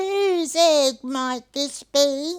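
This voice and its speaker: This is a put-on character voice. It sits at a high pitch. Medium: read story. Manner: gentle, warm.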